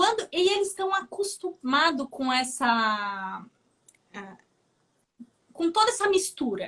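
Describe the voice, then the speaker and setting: The voice has a Brazilian accent and a bright, sharp tone, with very wide pitch swings. It moves at a very slow pace with long, frequent pauses. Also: woman, extremely high pitch for a woman. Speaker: nurse. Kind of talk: interview chat on a live stream.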